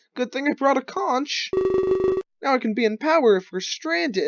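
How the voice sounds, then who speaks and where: Someone puts on a character voice at a high pitch, moving at a moderate pace. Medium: game stream. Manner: nervous, apologetic.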